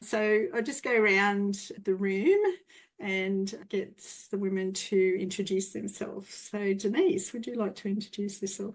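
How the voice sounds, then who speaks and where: A woman speaks with an Australian accent at a fairly slow pace. Her medium-pitched voice keeps a fairly even intonation. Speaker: breathwork practitioner, panel facilitator. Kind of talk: panel discussion.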